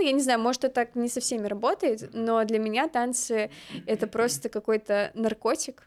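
Her high voice has ordinary pitch variation as this woman speaks at a moderate pace. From Kazakhstan. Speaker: dance podcaster, former content moderator. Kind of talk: casual chat. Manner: animated.

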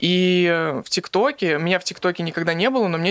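Heard in a dry, close sound with no echo, a man talks at a high pitch and a moderate pace. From Russia, Magnitogorsk (Chelyabinsk region). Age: 20s. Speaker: comedy blogger. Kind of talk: casual chat. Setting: studio.

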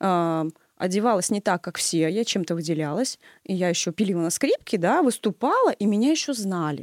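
In a normal speaking voice, the speaker uses lively intonation at a moderate pace, recorded very cleanly with a silent background and a dry, close sound without echo. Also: woman. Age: 30s. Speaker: music teacher. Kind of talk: casual chat.

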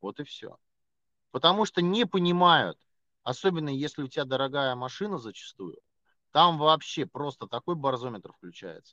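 In a dry, close recording with no echo, a man with a fairly high pitch and lively intonation keeps a moderate pace, pausing long and often as his loudness swings widely. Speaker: podcast co-host. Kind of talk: casual chat. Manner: loud, ranting.

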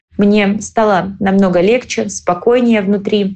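Here is a woman at medium pitch, speaking at a moderate pace. Hers is a normal speaking voice. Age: 30s. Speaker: cosmetologist, clinic owner. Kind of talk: recorded personal story.

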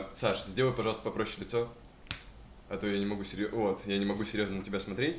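Talking at a very fast pace yet with long, frequent pauses, a man uses fairly even intonation at a fairly low pitch, and audible room echo is present. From Chelyabinsk, Russia. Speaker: podcast host. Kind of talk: casual chat.

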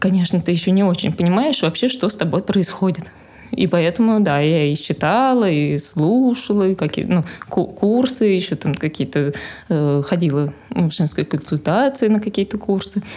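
Lively intonation colors this woman's ordinary speaking voice as she goes at a moderate pace. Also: medium pitch for a woman, very even loudness. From Moscow, Russia. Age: 20s. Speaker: mother of four, homeschooling parent. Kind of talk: casual interview chat.

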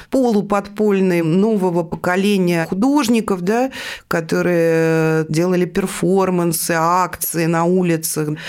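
This is a plain, everyday voice. It has ordinary pitch variation and a fairly slow pace. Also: woman. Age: 50s. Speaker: art newspaper editor. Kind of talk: interview.

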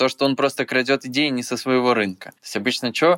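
A plain, everyday voice from a man at medium pitch and a fairly quick pace, in a very clean recording with a silent background and a dry, close sound with no echo. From Belarus. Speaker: blogger and producer. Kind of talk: casual interview.

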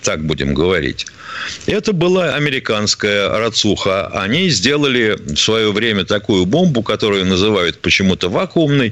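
A man's voice with very wide pitch swings at a moderate pace, amid noticeable background noise. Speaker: radio co-host, retired army colonel. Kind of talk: call-in radio show. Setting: studio.

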